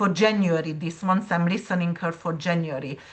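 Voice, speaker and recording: A woman speaks at a medium pitch, somewhat breathy, with fairly even intonation. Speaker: astrologer. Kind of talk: interview conversation.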